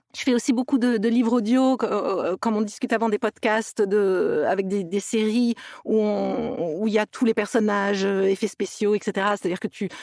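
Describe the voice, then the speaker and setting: A woman speaks at a fairly high pitch and moderate pace, with fairly even intonation and very even loudness. The sound is dry and close with no echo, though background noise is noticeable. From France, near Toulouse. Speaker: actress and voice actress. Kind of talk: podcast interview. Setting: remote recording.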